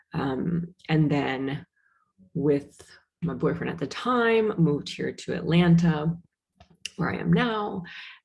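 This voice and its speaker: A woman's somewhat breathy voice with an American accent, a fairly low pitch, and a dark, mellow tone. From US Midwest, Wisconsin. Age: 30s. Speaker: podcast host, manager and mother. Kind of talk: casual monologue. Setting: recording alone on Zoom. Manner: hesitant, many fillers. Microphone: work laptop on Zoom.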